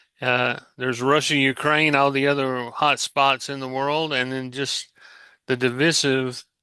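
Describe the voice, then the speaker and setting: Over a quiet background, a man talks at a fairly slow pace in a bright, sharp tone with monotone, flat intonation and a dry, close sound with no echo. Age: 60s. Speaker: podcast host. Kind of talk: casual chat. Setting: remote recording, not in same room.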